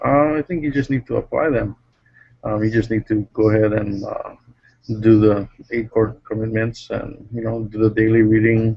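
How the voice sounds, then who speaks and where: Quiet and at a medium pitch, a man speaks at a moderate pace with fairly even intonation. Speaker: network marketing member. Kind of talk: casual chat on video call. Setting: video call from workplace.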